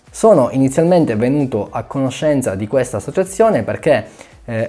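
A man speaks in a dark, mellow tone. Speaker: diving vlogger. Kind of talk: informative vlog explanation. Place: home room. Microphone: lapel.

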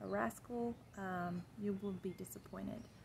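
The speaker reads aloud. The voice is natural.

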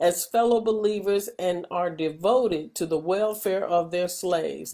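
Over a quiet background, a woman speaks at a fairly slow pace in a dark, mellow tone with ordinary pitch variation. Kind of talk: scripture reading. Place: home room. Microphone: webcam.

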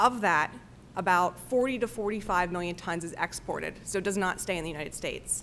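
Light background noise sits behind the speech. A woman talks at a moderate pace. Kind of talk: testimony. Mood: calm, formal. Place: meeting room. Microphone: podium.

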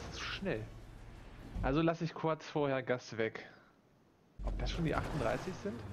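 Over noticeable background noise, a man with a fairly high pitch and lively intonation speaks at a fairly slow pace, with long, frequent pauses. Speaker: gaming YouTuber. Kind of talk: gameplay commentary. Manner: animated.

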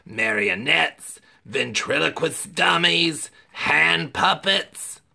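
A raspy, put-on character voice from a man, medium in pitch and very slow in pace.

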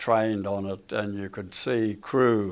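This man has an Australian accent and a fairly low pitch. He speaks at a very slow pace. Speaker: war veteran. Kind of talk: interview answer. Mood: somber reflective. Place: studio.

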